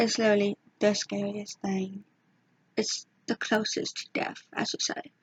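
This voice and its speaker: The voice is somewhat breathy and moves at a moderate pace, broken by long, frequent pauses. Pitch variation is ordinary, and the sound is dry and close with no echo. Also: woman, fairly high pitch for a woman. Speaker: YouTuber. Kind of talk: casual storytelling vlog. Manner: hesitant; whispering. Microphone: may be too quiet.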